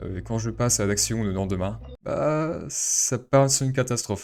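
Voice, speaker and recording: A man's fairly low voice at a moderate pace. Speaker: YouTuber. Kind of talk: personal vlog. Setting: alone at home mic. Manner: halting.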